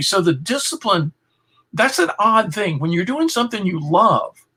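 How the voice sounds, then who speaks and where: A man speaks in a raised, projected voice with a bright, sharp tone and a high pitch. His pitch swings very widely at a moderate pace. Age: 60s. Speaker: philosopher and author. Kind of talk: interview.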